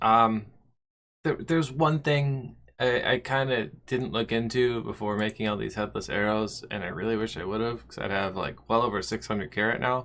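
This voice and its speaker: A man talks at a moderate pace in a medium pitch with ordinary pitch variation, an ordinary speaking voice. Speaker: gaming video host. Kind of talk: gameplay commentary. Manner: casual.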